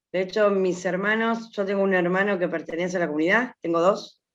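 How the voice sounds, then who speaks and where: Medium-pitched female speech, moderately paced, its intonation fairly even. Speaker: workshop participant. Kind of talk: personal testimony.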